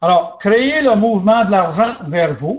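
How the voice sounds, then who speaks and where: A man with an English accent at a fairly slow pace. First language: English (speaking French). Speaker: business opportunity presenter. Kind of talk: sales pitch. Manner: halting.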